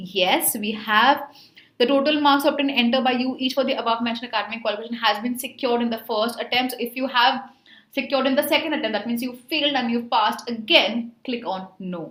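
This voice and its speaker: In an Indian accent, a woman with a high pitch talks at a very fast pace amid audible room echo. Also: ordinary pitch variation. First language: Hindi. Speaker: online tutor for job placement exams. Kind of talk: tutorial. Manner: casual, with filler words.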